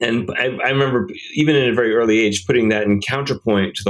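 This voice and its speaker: A man speaks in an American accent at a moderate pace. He has a normal speaking voice with ordinary pitch variation. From rural Rhode Island, US. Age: 40s. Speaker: film director. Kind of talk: interview, casual conversation.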